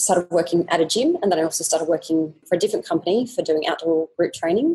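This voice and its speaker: Speaking with an Australian accent, a woman has a fairly low pitch and a dark, mellow tone. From Australia, Sydney. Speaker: fitness business owner. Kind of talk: interview.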